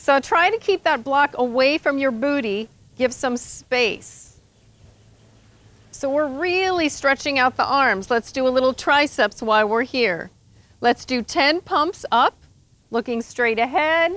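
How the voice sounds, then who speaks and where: The sound is dry, with no echo. A woman speaks at a high pitch. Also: lively intonation. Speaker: yoga instructor. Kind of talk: instruction cues in a fitness class. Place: garden. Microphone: lapel.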